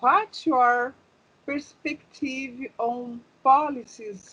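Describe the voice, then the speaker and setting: A woman with a Brazilian accent. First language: Portuguese. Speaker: interviewer. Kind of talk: interview. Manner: halting.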